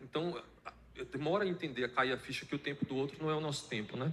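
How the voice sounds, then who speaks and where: This man's speech has ordinary pitch variation. He moves along at a fairly quick pace. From Bahia, Brazil (Irecê). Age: 30s. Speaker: author, poet. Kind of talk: interview. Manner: hesitant, many fillers.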